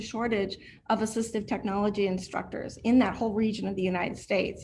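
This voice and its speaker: Somewhat breathy and fairly high in pitch, a woman talks at a very fast pace. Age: 50s. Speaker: blind student, client of a training center. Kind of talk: testimony. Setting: video call.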